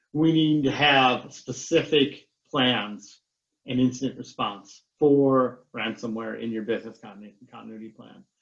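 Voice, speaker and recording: An unremarkable speaking voice moves at a fairly slow pace, with ordinary pitch variation and big swings in loudness. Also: man, medium pitch for a man. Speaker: cybersecurity consultant. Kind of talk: webinar presentation.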